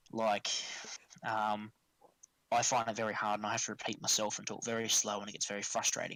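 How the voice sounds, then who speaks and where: A man with a strong Australian accent and a bright, sharp tone, at a fairly quick pace, in a dry, close sound with no echo. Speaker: tabletop wargaming tournament player. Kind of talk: casual podcast chat. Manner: animated.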